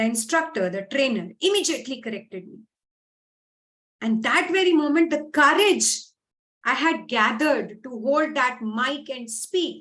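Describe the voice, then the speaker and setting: With an Indian accent, a woman speaks at a moderate pace and high pitch, her intonation lively and her loudness swinging widely. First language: Hindi. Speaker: English speaking coach. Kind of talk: motivational talk.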